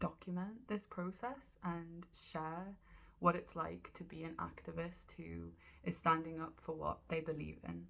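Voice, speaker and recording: With a Geordie accent, a woman talks at a fairly slow pace, leaving long, frequent pauses. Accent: Geordie (Newcastle English). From northeast England, Newcastle. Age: 20s. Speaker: animal rights activist. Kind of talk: personal video diary. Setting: in her room. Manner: hesitant, with fillers.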